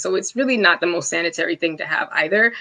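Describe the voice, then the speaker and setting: Her tone is bright and sharp. The woman's pitch swings very widely. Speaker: interior designer presenting a webinar. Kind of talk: live webinar presentation. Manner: fast; casual, filler-heavy.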